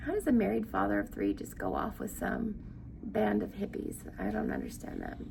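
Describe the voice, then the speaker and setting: A woman talks fairly quickly with noticeable background noise around her. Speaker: book reader and commentator. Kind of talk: reading aloud with commentary. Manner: casual, chatty asides.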